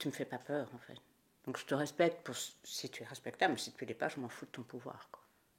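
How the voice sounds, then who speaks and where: Her pitch very deep and low, a woman talks at a fairly quick pace with big swings in loudness. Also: ordinary pitch variation. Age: 60s. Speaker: Burundian diaspora member, theatre enthusiast. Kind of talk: interview.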